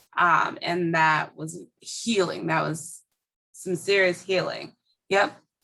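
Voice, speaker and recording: A woman with an American accent speaks very slowly in a fairly low pitch, her bright, sharp tone edged with vocal fry. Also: ordinary pitch variation. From Minneapolis, US Midwest. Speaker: educator and bookstore owner. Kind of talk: interview.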